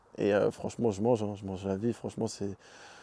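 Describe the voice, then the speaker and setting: Intonation stays monotone and flat in this voice of dark, mellow tone. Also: man. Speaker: professional footballer. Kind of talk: interview. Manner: hesitant, stammering.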